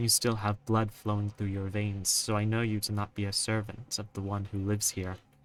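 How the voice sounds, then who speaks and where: A man puts on a character voice, fairly low and monotone with flat intonation. He talks at a fairly quick pace with hardly any pauses. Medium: actual play. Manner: cold, cryptic.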